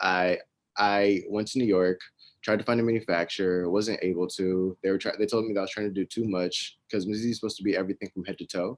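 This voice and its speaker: Speaking at a very fast pace in a Texas accent, a man keeps a monotone, flat intonation at a fairly low pitch, with a dry, close sound and no echo. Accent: American, Texas. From US, Ohio and Dallas, Texas. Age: 20s. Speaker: fashion entrepreneur. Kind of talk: interview. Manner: casual, with fillers.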